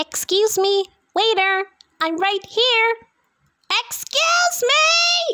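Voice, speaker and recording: In a put-on character voice that is squeaky and extremely high, the speaker goes at a very slow pace with long, frequent pauses. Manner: goofy, silly; calling out, exaggerated.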